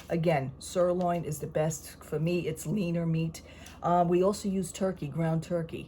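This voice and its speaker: A woman speaks at a moderate pace in a fairly low, somewhat breathy voice with monotone, flat intonation. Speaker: vlogger. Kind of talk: casual chat. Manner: speaking quietly.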